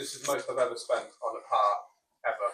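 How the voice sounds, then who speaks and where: A man talks with an English Midlands accent. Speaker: car restorer, channel co-host. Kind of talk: casual chat while working.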